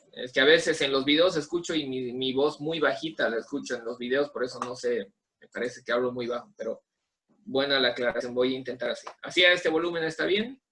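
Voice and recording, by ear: At a fairly quick pace and medium pitch, a man speaks with fairly even intonation, a bright, sharp tone, and a slightly husky edge.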